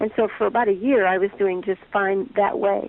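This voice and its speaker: This woman has a plain, everyday voice. Her pitch is medium. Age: 60s. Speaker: chronic pain patient. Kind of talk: interview testimony.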